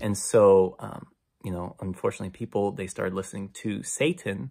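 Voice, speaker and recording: The man speaks with a fairly low pitch. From immigrant family from Syria and Ukraine/Russia. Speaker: Bible reading video creator. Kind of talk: casual religious talk to camera. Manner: halting, many fillers and restarts.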